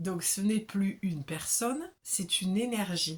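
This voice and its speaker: The voice is somewhat breathy, in a southern French accent. It moves at a fairly slow pace with ordinary pitch variation. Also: woman. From southern France.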